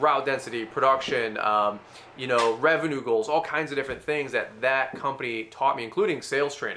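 Over noticeable background noise, a man speaks in an animated tone at a medium pitch. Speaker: landscaping business owner and YouTuber. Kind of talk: casual interview.

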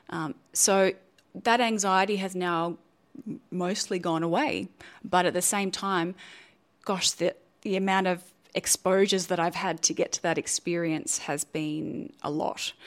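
A woman speaks in an Australian accent at medium pitch, with ordinary pitch variation and long, frequent pauses. The recording is very clean, the background silent. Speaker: neuroscientist and science communicator. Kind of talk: interview.

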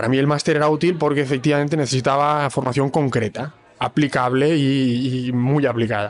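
Speaking in an unremarkable speaking voice, a man goes at a fairly quick pace with hardly any pauses, a fairly high pitch, very even loudness and fairly even intonation. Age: 20s. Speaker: master's student. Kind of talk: casual panel discussion.

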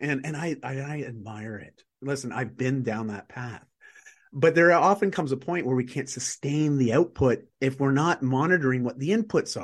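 A man with a plain, everyday voice, medium pitch and ordinary pitch variation, at a moderate pace with big swings in loudness over a quiet background. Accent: Canadian. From Canada. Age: 40s. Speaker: author and performance coach. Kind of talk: casual interview chat.

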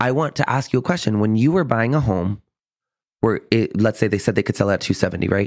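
A man at a very fast pace, with an animated tone and very even loudness, in a very clean recording with a silent background. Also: medium pitch for a man, lively intonation. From US South, San Antonio, Texas. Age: 30s. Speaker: real estate professional. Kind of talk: casual interview chat.

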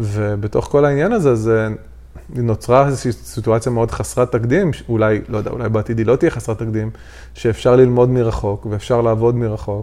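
Talking fairly quickly at a medium pitch, a man uses a normal speaking voice. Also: fairly even intonation. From Israel, Haifa Krayot. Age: 30s. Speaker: podcast co-host. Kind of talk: casual chat. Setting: recording at home on a couch.

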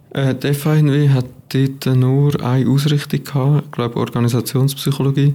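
A man with a fairly high voice speaks at a moderate pace with very even loudness. His tone is dark and mellow, and his intonation is monotone and flat. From Switzerland, Aargau (near Baden). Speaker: psychology student. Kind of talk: casual interview.

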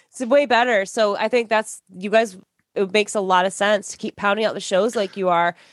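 Delivered at a fairly quick pace with fairly even intonation, this is an unremarkable speaking voice. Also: woman, medium pitch for a woman. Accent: American. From Michigan. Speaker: podcast host. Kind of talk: casual chat.

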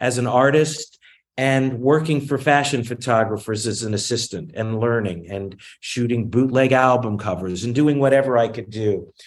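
Speaking fairly slowly in an unremarkable speaking voice, a man with an American accent and medium pitch uses ordinary pitch variation. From US South, Virginia (Newport News). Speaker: film and television producer. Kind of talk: interview.

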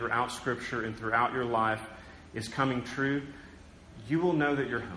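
A medium-pitched man with an American accent, with audible room echo. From southern Oklahoma, US. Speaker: pastor. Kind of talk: sermon. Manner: conversational with frequent fillers.

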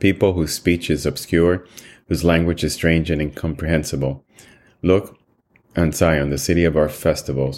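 A man's very deep, low voice with vocal fry, a solemn tone and fairly even intonation. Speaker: Bible reading podcast host. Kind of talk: formal scripture reading aloud, solemn devotional delivery. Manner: measured, solemn, steady pace; formal, reverent.

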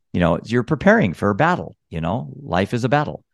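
A man at a moderate pace, with dry, close sound free of echo and a quiet background. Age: 50s. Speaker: mental health advocate. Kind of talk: interview.

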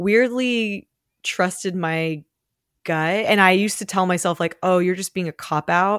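In a very clean recording with a silent background and a dry, close sound with no echo, a woman with a normal speaking voice talks at a fairly slow pace with medium pitch and ordinary pitch variation. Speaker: real estate brokerage co-founder and podcast co-host. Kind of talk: casual chat.

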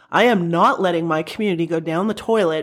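A woman with an Ontario accent speaks in an animated tone at a moderate pace, her fairly low pitch showing ordinary variation. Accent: Canadian (Ontario). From Welland, Ontario, Canada. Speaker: college athletics director. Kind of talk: interview. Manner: engaging, animated.

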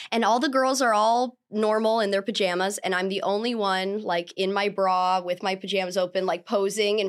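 The speech moves at a fairly quick pace with fairly even intonation. The recording is very clean, with a silent background. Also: woman. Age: 20s. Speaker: adult film performer. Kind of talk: casual interview chat. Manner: talkative.

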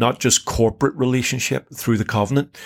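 In a very clean recording with a silent background, a man with a Northern Irish accent speaks at a moderate pace with ordinary pitch variation. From Northern Ireland. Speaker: Bible podcast co-host. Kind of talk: casual chat.

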